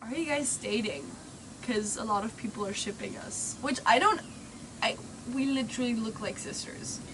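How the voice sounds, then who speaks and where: With noticeable background noise and audible room echo, a woman with a fairly high pitch speaks at a moderate pace, with lively intonation and long, frequent pauses. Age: 20s. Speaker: vlogger, co-host of travel Q&A. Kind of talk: casual chat.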